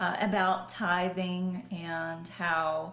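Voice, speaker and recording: A soft-spoken woman with a Southern US accent and a fairly low pitch, amid noticeable background noise and audible room echo. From US South, western North Carolina. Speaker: pastor. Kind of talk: interview conversation. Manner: quiet, soft-spoken.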